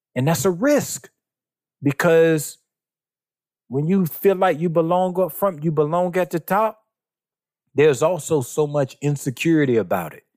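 A man with a Southern US accent, fairly high-pitched, with ordinary pitch variation, big swings in loudness and long, frequent pauses. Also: moderate pace. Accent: Southern American. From US South, South Carolina. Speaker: writer and church leader. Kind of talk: interview conversation.

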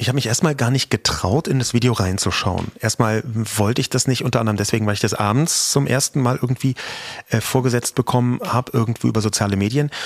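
Amid noticeable background noise, a man talks at a very fast pace with very even loudness and ordinary pitch variation, the sound dry and close with no echo. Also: medium pitch for a man. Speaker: podcast host. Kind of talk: casual chat.

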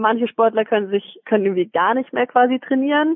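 An ordinary speaking voice from a woman, fairly high in pitch with ordinary variation, at a fairly quick pace. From Swabia, Germany (Metzingen). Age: 20s. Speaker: professional track cyclist. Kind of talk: casual interview. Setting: phone call from home.

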